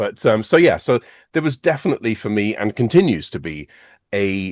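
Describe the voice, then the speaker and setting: In an English accent, a man speaks at a moderate pace with a fairly low pitch and very wide pitch swings. The sound is dry and close with no echo, over a quiet background. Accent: English accent, still going strong. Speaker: math education specialist. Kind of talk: podcast interview.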